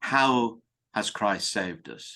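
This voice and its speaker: Over a quiet background, a man speaks with a British accent in a bright, sharp tone. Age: 70s. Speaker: priest. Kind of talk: interview. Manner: hesitant fillers.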